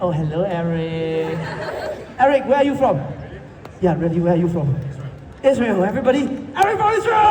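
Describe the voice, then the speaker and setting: An animated, high male voice with very wide pitch swings and long, frequent pauses, amid noticeable background noise and audible room echo. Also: fairly quick pace. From Singapore. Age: 20s. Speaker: street performer. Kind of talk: street show patter. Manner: loud.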